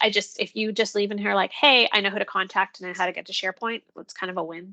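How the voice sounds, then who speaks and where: Her bright, sharp tone carries vocal fry at a medium pitch with ordinary pitch variation, recorded dry and close with no echo. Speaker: education technology coach. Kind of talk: online professional development presentation. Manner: fast.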